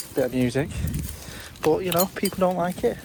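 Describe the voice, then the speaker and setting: The speaker talks with a British accent. Background noise is noticeable. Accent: British accent, noted by self. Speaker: litter-picking vlogger. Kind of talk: casual vlog talk to camera. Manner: hesitant, many fillers.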